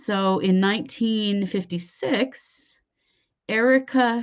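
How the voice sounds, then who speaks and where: A woman speaks at a medium pitch with lively intonation. Her accent is Idaho. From US West, Idaho. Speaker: true crime podcast host. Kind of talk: casual true crime storytelling. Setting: late-evening live show. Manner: conversational, with filler words.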